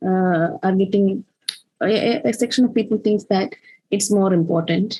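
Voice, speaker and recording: A woman with a Keralan accent speaks at a medium pitch and a fairly slow pace, her pitch varying in an ordinary way. Her tone is dark and mellow, somewhat breathy. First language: Malayalam. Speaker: poet. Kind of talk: casual conversation. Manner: halting, many fillers.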